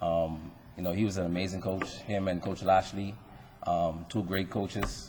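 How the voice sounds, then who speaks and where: At a moderate pace, a man with a Bahamian accent speaks in a very deep, low voice with a dark, mellow tone and some breathiness. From Bahamas. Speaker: retired athlete, hall of fame inductee. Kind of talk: acceptance speech. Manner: halting, many fillers.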